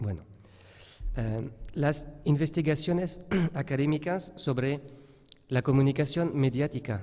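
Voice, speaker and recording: A man's fairly high voice, very slow pace, dark and mellow tone. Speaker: professor. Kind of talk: conference talk read from paper. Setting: conference hall with audience. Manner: halting, hesitant.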